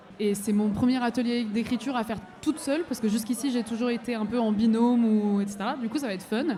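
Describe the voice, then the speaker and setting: A woman's fairly high-pitched voice at a fairly quick pace, with fairly even intonation and audible room echo. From abroad, came to France at 15. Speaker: singer-songwriter. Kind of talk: live radio interview. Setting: festival stage with audience.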